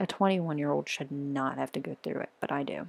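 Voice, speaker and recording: A woman speaks quietly at a fairly quick pace. The sound is dry and close with no echo, in a very clean recording with a silent background. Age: 20s. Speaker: vlogger sharing personal struggles. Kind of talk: personal testimony vlog. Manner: quiet, hushed; halting.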